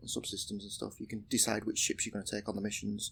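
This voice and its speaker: The speaker is a man with a British accent. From UK. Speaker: indie game developer. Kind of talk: game demo walkthrough. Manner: casual, many fillers.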